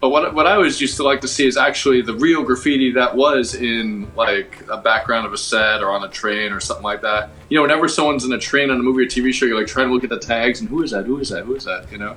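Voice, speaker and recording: Very fast, medium-pitched talk from a man with hardly any pauses, ordinary pitch variation and noticeable background noise. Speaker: graffiti artist. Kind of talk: casual chat.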